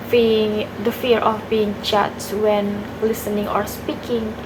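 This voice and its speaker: Amid audible room echo, a woman with a non-native accent speaks at a very slow pace in a fairly high pitch. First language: not English. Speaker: university student. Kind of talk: exam video reflection. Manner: halting, self-correcting.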